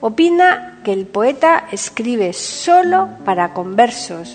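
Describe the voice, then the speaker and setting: Over noticeable background noise, a woman speaks at a very slow pace with a fairly high pitch. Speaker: podcast host and presenter. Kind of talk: radio-style presentation, scripted intro and biography.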